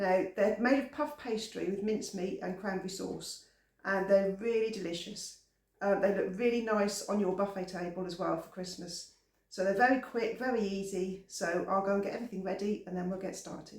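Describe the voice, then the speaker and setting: With an English accent, a man speaks at a high pitch in a relaxed tone. His intonation is fairly even, and audible room echo surrounds him. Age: 60s. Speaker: home cooking channel host. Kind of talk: cooking tutorial. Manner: relaxed, chatty.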